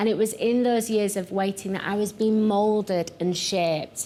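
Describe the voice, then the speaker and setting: A woman with a strong Yorkshire accent and a dark, mellow tone. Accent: thick Yorkshire. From northern England, Yorkshire. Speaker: pastor. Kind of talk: sermon.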